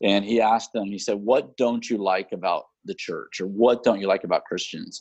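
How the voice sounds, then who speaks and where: A man with a plain, everyday voice, fairly low in pitch, speaks at a moderate pace in an American accent with hardly any pauses. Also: fairly even intonation. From Houston, Texas. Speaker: missionary. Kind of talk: casual chat. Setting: video call.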